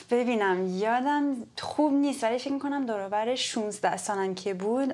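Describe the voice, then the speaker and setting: A woman with an English accent is heard on a very clean recording with a silent background. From California, US (Palo Alto). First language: English (speaking Persian). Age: 30s. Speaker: startup campus director. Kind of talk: interview. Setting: office.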